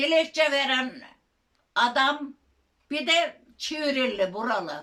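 A woman speaks very slowly in a high pitch with ordinary pitch variation. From Çivril, Turkey. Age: 80s+. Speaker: local petition campaigner. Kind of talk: interview answer.

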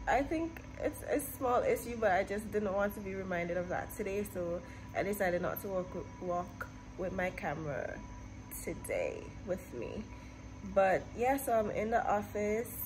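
Music plays in the background. A woman talks at a moderate pace. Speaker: vlogger. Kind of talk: casual vlog chat. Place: office. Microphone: phone near.

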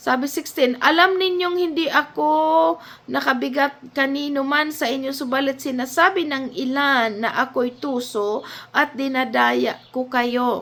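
A woman speaks at a fairly slow pace in a high voice with lively intonation. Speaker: Bible teacher. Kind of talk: Bible study talk.

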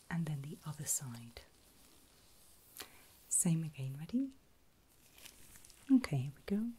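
A soft-spoken woman with a very deep, low pitch talks at a fairly slow pace in a dark, mellow, gentle tone, somewhat breathy, her loudness swinging widely over light background noise. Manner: soft, gentle ASMR voice.

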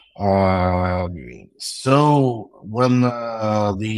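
Speaking with a Russian accent, a man uses a fairly low pitch and ordinary pitch variation on a very clean recording with a silent background. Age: 30s. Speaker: tech entrepreneur. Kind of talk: interview. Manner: halting.

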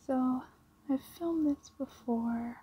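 The speaker is soft-spoken, with a gentle, relaxed tone. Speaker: ASMR creator. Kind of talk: ASMR show and tell, casual talk to camera. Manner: soft-spoken, gentle, relaxed. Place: home room. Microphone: phone near.

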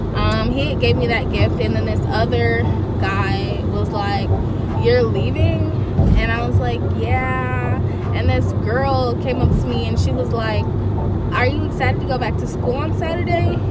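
With music in the background, a woman speaks at a fairly slow pace with ordinary pitch variation in a dry sound with no echo. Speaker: college student vlogger. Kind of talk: casual vlog chat. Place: car. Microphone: phone near.

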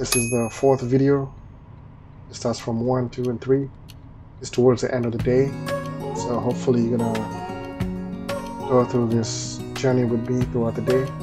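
Clear music plays behind a man talking at a moderate pace. He leaves long pauses, and often. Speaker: truck driver vlogger. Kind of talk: casual vlog chat. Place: car. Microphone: phone near.

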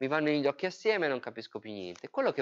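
Over a quiet background, the voice moves in very wide pitch swings. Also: man. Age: 30s. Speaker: software engineer and user group organizer; presenter. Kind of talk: technical talk. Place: meeting room.

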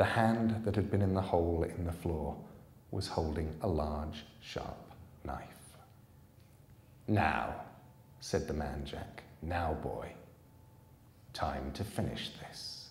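A man with a very deep, low pitch talks at a very slow pace, leaving long, frequent pauses and using ordinary pitch variation. There is audible room echo and light background noise. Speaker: author reading his own book. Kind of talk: live audiobook reading. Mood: calm, suspenseful storytelling. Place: hall. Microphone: podium.

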